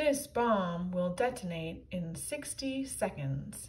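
Put-on, robotic character voice from a woman at medium pitch and a very slow pace. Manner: mechanical countdown.

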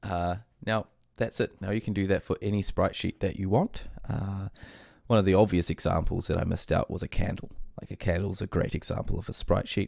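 A man with a New Zealand accent speaks fairly quickly in a fairly low, flat monotone. The sound is dry and close, with no echo. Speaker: game development tutorial creator. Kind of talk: tutorial. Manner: casual with frequent fillers.

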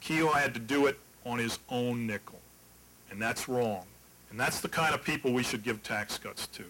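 Over light background noise, a man of medium pitch speaks in an American accent with a bright, sharp tone. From West Virginia. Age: old. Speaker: political candidate; candidate. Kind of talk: debate. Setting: stage with audience. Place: hall. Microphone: podium.

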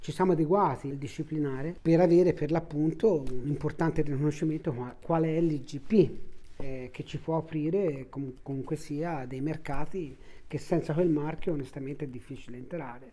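A man speaks with a dark, mellow tone. His fairly high pitch follows a fairly even intonation. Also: moderate pace. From Tuscany, Italy. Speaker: family business owner, baker. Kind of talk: interview monologue. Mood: relaxed, friendly. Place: home room.

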